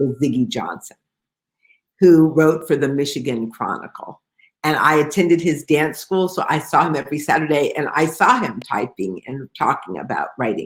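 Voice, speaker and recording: A woman with an American accent speaks at a moderate pace with lively intonation. Her pitch is very deep and low, with vocal fry. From Detroit, US Midwest. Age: 60s. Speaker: novelist. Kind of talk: author interview. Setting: video call.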